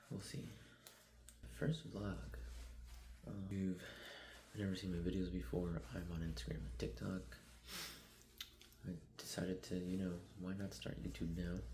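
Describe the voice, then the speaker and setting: A man whispering with vocal fry and long, frequent pauses, amid audible room echo. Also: moderate pace. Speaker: vlogger, amateur runner. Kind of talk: vlog narration. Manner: casual, hesitant.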